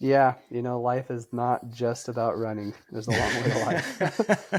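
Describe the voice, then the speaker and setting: A soft-spoken man talks at a fairly slow pace. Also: medium pitch for a man, ordinary pitch variation. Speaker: ultrarunner and running coach. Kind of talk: casual interview chat. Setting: podcast recording.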